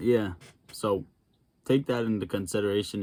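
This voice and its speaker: A man with an American accent and an unremarkable speaking voice talks at a fairly quick pace. His fairly low pitch has fairly even intonation. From Massachusetts. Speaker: stock trading YouTuber. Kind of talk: reaction commentary. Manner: casual.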